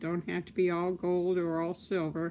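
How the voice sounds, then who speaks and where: This woman's voice is at a medium pitch. She talks at a fairly slow pace. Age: 60s. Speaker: crafts livestreamer. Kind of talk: live tutorial. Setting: live stream. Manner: casual, chatty.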